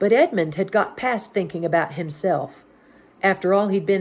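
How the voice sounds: The text is read aloud. It comes in a natural reading voice.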